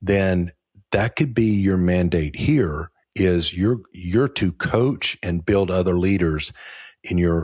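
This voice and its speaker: A man speaks at a fairly slow pace, his pitch very deep and low with ordinary variation. The recording is very clean with a silent background, and the sound is dry and close with no echo. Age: 60s. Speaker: podcast host and insurance agency owner. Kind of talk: conversational interview.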